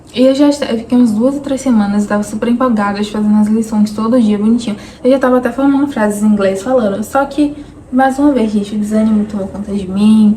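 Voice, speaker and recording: Over noticeable background noise, the speech comes at a very fast pace with fairly even intonation. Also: woman, fairly high pitch for a woman. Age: 20s. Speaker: vlogger. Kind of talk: personal vlog monologue.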